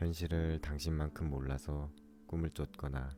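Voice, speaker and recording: With music in the background, a man with a very deep, low pitch speaks in a calm tone at a very slow pace, his intonation monotone and flat. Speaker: audiobook narrator. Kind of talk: essay reading. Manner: slow, calm.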